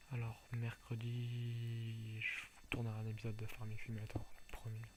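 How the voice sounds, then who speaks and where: A soft-spoken man talks at a medium pitch, his loudness very even. His delivery is flat and monotone at a fairly slow pace, with noticeable background noise. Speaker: gaming YouTuber. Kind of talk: gameplay commentary. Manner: soft-spoken, speaking quietly; halting, many repetitions.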